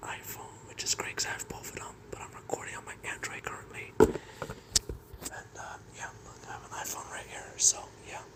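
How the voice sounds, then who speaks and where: A whisper comes through amid noticeable background noise. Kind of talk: casual talk to camera. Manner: casual, rambling.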